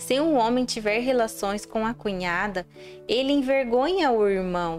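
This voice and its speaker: Music plays in the background as a woman talks at a fairly slow pace. Her loudness stays very even. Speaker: Bible narrator. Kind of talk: audio Bible reading.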